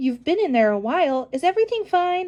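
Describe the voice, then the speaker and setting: Squeaky and extremely high, a woman's put-on character voice races at a fairly quick pace with very wide pitch swings. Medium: read story.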